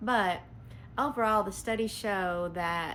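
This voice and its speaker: A woman speaks in a Southern US accent with ordinary pitch variation. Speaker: veterinarian. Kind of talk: answering a viewer question. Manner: casual, hesitant with frequent ums.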